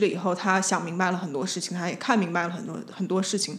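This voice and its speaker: A woman's medium-pitched voice at a very fast pace, with audible room echo. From Beijing, China. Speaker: designer and spirit medium. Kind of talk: casual chat.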